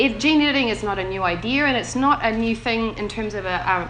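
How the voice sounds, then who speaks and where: In a New Zealand accent, a woman speaks at a fairly quick pace in a fairly high voice with ordinary pitch variation, with music in the background and audible room echo. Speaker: bioethics researcher. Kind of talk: panel talk.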